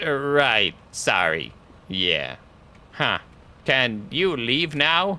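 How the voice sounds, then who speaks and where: Doing a put-on character voice, a man speaks at a medium pitch with very wide pitch swings. The pace is very slow, with long, frequent pauses. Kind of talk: comic mock-occult declamation. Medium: game stream. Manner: melodramatic, archaic phrasing.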